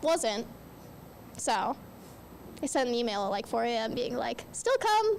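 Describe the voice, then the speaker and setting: A woman speaking at a fairly slow pace with long, frequent pauses. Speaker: student podcast host. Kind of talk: casual chat. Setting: live event recording.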